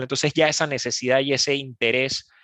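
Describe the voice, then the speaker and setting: Speaking at a fairly quick pace in a Panamanian accent, a man has a fairly high pitch and a bright, sharp tone. The sound is dry and close with no echo, over a quiet background. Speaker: e-commerce speaker. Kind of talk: webinar presentation. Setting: online webinar. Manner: halting, many fillers.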